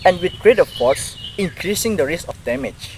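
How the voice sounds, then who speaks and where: Speaking at a moderate pace with an Indonesian accent, a man makes very wide pitch swings over noticeable background noise. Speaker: university student. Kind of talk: educational explainer, scripted.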